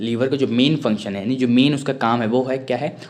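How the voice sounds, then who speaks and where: Fairly quick and fairly even in intonation, the speech carries audible room echo. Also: man. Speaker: online teacher. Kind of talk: lecture. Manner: fast.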